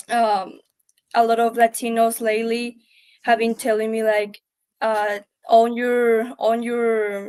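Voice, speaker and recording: This woman talks at a very slow pace in a strong Spanish accent, with long, frequent pauses. Her pitch is fairly high and her intonation monotone and flat. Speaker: panelist. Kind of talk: panel discussion. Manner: halting.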